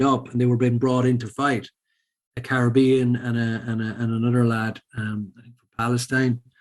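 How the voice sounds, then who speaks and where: With an Irish accent, a man talks at a medium pitch and a moderate pace. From Ireland, Sligo. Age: 40s. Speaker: former professional poker player and charity founder. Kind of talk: podcast interview. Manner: hesitant, many fillers.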